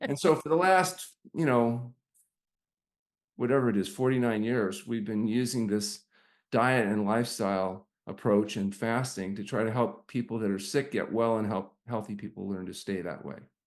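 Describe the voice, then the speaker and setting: A man at medium pitch with lively intonation and a moderate pace, over a quiet background. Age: 60s. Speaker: doctor running a fasting health center. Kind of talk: interview storytelling. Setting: podcast interview. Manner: energetic.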